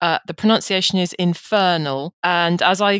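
Ordinary pitch variation comes through in an English accent, the sound dry and close with no echo. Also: woman. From England. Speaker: careers editor. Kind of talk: interview. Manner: fluent, articulate.

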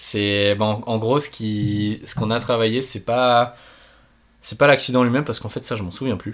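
Medium-pitched male speech, moderately paced, its intonation fairly even. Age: 20s. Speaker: paraglider and engineering student. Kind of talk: interview. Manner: halting.

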